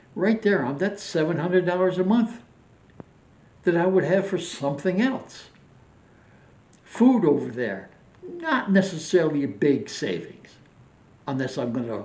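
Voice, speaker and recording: Amid audible room echo, a man with a fairly high voice talks at a moderate pace, his pitch swinging very widely between long, frequent pauses. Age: 80s+. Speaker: retired vlogger. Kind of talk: casual vlog monologue.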